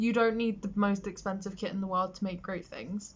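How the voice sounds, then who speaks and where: A woman with a medium pitch speaks with a British accent. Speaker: makeup artist. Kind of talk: tutorial. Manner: casual, chatty.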